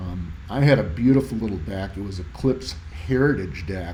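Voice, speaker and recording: A man with a dark, mellow, somewhat breathy tone talks at a fairly quick pace with lively intonation. Audible room echo surrounds his voice. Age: 60s. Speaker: audio hobbyist YouTuber. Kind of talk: tutorial presentation. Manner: casual, halting with fillers.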